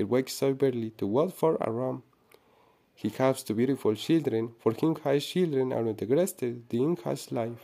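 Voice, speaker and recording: With a Spanish accent, a man speaks at a moderate pace and medium pitch, his tone dark and mellow and his pitch variation ordinary. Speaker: student. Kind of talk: reading aloud. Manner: halting.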